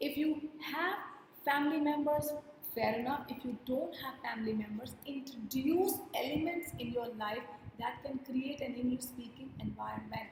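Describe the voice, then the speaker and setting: A woman with an Indian accent speaks in a high pitch with ordinary pitch variation. Room echo can be heard. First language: Hindi. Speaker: communication skills trainer. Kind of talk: workshop lecture. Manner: deliberate, explanatory with repetitions.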